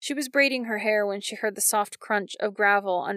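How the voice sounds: In a natural reading voice, the speaker reads with ordinary pitch variation.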